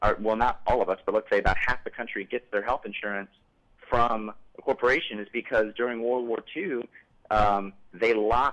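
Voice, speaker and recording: A man with a plain, everyday voice, medium in pitch, at a fairly quick pace. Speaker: call-in show host. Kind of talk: live call-in political talk show. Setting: TV studio.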